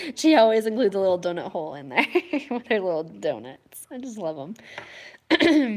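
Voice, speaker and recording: The woman's fairly high pitch swings very widely. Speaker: beauty and home fragrance youtuber. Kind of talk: product haul review. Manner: casual, chatty with fillers.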